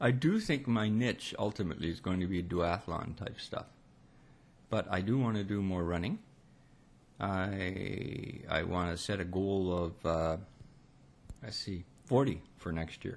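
Slow and full of long, frequent pauses, a man with a Canadian accent speaks at a very deep, low pitch. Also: ordinary pitch variation. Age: old. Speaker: retiree, runner. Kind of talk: casual conversation.

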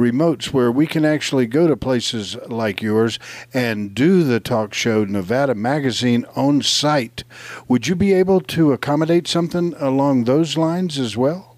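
Lively intonation rides over a moderate pace and very even loudness. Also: man, medium pitch for a man. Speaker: radio co-host. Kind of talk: radio talk show banter. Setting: live radio show at a mall. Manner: animated, enthusiastic.

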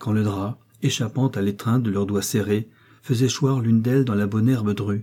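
The delivery is a natural reading voice.

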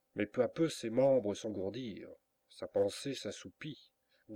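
Plain reading aloud, with nothing but quiet behind it.

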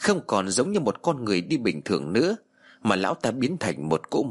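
The reading is done in a natural voice.

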